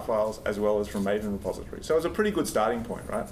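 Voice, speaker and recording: An Australian accent amid audible room echo and noticeable background noise. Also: man. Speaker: software engineer, conference speaker. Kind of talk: conference talk. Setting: stage with audience. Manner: fast when nervous; casual, halting with fillers.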